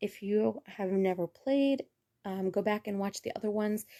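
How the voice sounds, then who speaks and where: Dry and close with no echo, a woman speaks at a moderate pace. Her intonation is fairly even and her tone dark and mellow. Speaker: gaming YouTuber. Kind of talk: gameplay commentary.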